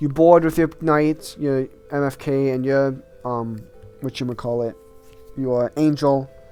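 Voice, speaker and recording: A man's fairly high voice at a moderate pace, with fairly even intonation and noticeable background noise. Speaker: gaming youtuber. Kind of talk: video game tier list commentary. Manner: halting, many false starts.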